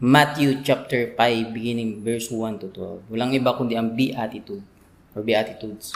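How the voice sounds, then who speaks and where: Here a man uses an unremarkable speaking voice at a medium pitch. He talks at a fairly quick pace with fairly even intonation. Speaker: Bible preacher. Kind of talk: expository sermon.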